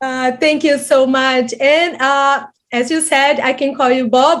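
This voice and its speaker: Monotone, flat intonation in a Brazilian Portuguese accent. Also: woman. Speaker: interviewer, psychology teacher. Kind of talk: interview. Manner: halting.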